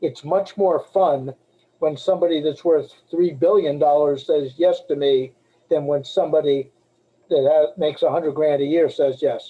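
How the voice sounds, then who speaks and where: A man's normal speaking voice, fairly high in pitch, with fairly even intonation, very even loudness and a moderate pace. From Boston area, Massachusetts. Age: 60s. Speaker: life insurance agent. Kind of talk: webinar talk. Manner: casual, conversational.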